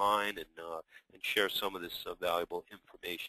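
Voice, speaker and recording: A man talks at a moderate pace with a New York accent. The sound is dry and close, with no echo. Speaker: software company executive, former IT service provider. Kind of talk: webinar presentation. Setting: webinar.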